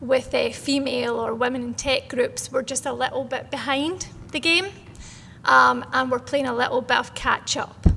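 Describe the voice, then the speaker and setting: At a moderate pace, a woman with a Scottish accent speaks over noticeable background noise. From Scotland. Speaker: founder of women in tech network. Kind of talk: panel discussion.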